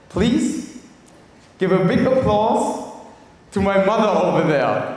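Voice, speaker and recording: A German accent amid audible room echo and noticeable background noise. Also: man. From Germany. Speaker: speaker at networking event. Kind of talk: motivational talk. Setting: stage with audience.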